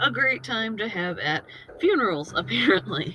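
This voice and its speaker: The speaker talks with an American accent at a fairly slow pace. Noticeable background noise can be heard. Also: woman. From US. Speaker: storytelling podcast host. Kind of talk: casual storytelling.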